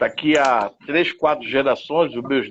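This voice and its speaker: Speaking at a fairly slow pace, a man uses a plain, everyday voice at a medium pitch. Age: 60s. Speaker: live stream host. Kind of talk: casual discussion. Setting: online live stream. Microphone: bad internet connection.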